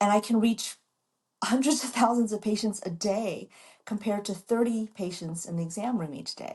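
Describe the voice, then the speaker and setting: In an American accent, a woman talks at a moderate pace with a fairly high pitch. Her voice is somewhat breathy and shows ordinary pitch variation. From US Midwest, Chicago. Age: 60s. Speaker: doctor and model. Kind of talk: interview.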